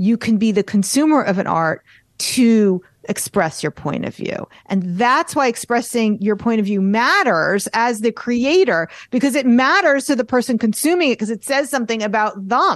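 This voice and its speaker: With a normal speaking voice, lively intonation carries the words at a moderate pace. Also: woman, fairly high pitch for a woman. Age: 50s. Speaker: artist and art business coach. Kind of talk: casual chat.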